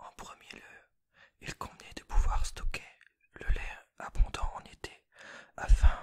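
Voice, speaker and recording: Each word comes out very slowly. The speaker is whispering. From Jura, Franche-Comté, France. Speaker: ASMR creator. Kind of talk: reading aloud; ASMR whispered talk. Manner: slow, soft-spoken.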